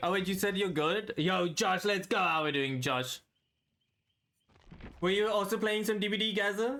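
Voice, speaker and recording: In a bright, sharp tone, a man speaks at a moderate pace with ordinary pitch variation. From South Africa. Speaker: video game streamer. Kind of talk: casual live-stream chat. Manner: casual, relaxed. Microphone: new headset.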